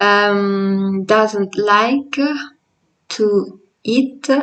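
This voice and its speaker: In an Italian accent, a woman speaks at a medium pitch. Her pitch variation is ordinary. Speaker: language teacher. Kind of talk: tutorial. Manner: halting.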